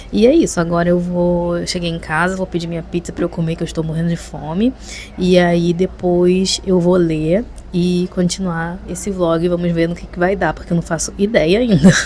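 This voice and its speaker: Over noticeable background noise, a woman speaks at a moderate pace in a fairly low pitch with fairly even intonation. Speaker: vlogger. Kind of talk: casual vlog talk to camera. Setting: on the balcony at home. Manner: soft-spoken, talking quietly at night.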